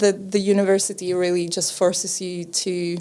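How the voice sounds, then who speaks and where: The voice has a Czech accent and a dark, mellow tone. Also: woman. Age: 30s. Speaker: podcaster and TV presenter. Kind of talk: casual chat. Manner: halting.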